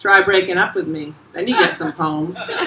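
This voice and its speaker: With an American accent, the speaker uses an animated tone and ordinary pitch variation at a fairly slow pace, with noticeable background noise behind. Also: woman. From South Florida. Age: 40s. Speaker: essayist. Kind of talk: reading aloud. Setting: stage with audience; bar. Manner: loud.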